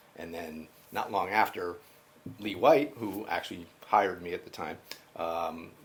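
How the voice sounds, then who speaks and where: With a US Northeastern accent, a man speaks in a very deep, low pitch and fairly even intonation. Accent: US Northeast. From Connecticut, US Northeast. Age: 60s. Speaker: college IT project manager. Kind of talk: oral history interview. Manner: halting, many fillers.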